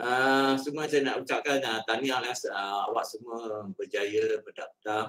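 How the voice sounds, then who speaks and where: A man speaks at a medium pitch with ordinary pitch variation. His pace is fairly slow, and the background is quiet. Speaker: head of records and alumni unit. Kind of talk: briefing. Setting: video call. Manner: halting. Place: office.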